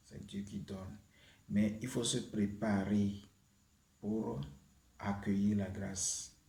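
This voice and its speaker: Somewhat breathy speech comes at a very slow pace, with audible room echo. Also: man. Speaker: YouTube prayer channel host. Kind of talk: spiritual teaching and prayer. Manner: hesitant, with many fillers.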